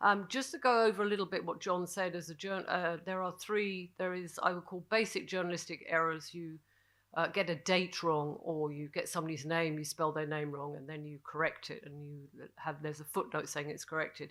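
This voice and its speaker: On a very clean recording with a silent background, a woman with a British accent speaks at a fairly quick pace in a fairly low pitch, with ordinary pitch variation and big swings in loudness. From Britain. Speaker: journalist, panelist. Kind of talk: panel discussion. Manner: halting, many fillers.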